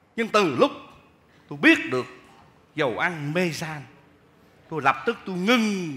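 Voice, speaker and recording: Using very wide pitch swings, a man speaks at a moderate pace. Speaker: comedian playing a shopkeeper. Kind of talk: comic stage monologue and singing. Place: stage. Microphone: headset.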